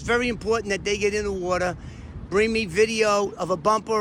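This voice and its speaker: In a raised, projected voice, a high-pitched man speaks at a fairly quick pace. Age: 60s. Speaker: former mob informant. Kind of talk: casual chat. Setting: outdoors. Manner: animated.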